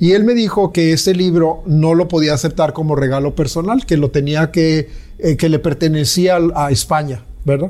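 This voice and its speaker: A man talks at a moderate pace with a fairly high pitch, ordinary pitch variation and very even loudness. Noticeable background noise sits behind him. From Mexico. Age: 60s. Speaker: visual artist. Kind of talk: interview. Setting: artist's studio.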